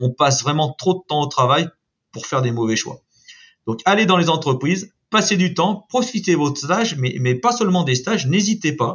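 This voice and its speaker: The man's pitch is fairly high and swings very widely. He keeps a moderate pace. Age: 50s. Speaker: construction company branch director. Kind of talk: interview. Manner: hesitant, many repetitions and fillers.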